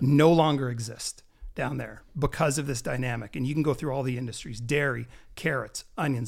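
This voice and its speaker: A man with a Canadian accent, fairly quick and fairly even in intonation, with vocal fry, on a very clean recording with a silent background. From Canada. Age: 40s. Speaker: health and wellness entrepreneur, crypto enthusiast. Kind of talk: casual chat.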